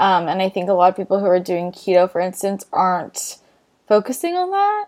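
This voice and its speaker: A woman's normal speaking voice with an American accent, medium in pitch, at a fairly quick pace. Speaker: podcast host, nutritional therapist. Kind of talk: casual interview chat.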